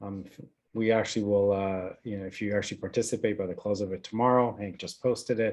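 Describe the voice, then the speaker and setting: Against a quiet background, a man speaks at a very fast pace. His fairly low voice keeps a monotone, flat intonation. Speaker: community foundation event host. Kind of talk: closing remarks at online panel.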